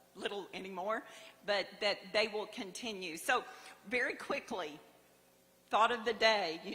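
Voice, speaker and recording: With an American accent, a woman speaks at a medium pitch and a fairly slow pace, with ordinary pitch variation, long, frequent pauses and noticeable background noise. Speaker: award honoree. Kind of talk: acceptance speech. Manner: halting.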